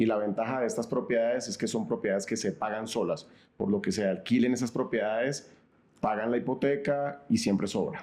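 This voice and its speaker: A man's dark, mellow voice at a medium pitch, with ordinary pitch variation and a fairly quick pace. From Colombia, Cali. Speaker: real estate advisor. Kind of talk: interview.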